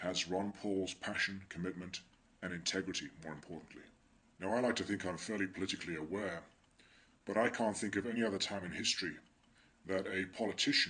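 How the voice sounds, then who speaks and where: A man's very deep, low voice with an English accent, bright and sharp in tone, fairly even in intonation, at a fairly quick pace broken by long, frequent pauses. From England. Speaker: political commentator vlogger. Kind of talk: monologue commentary.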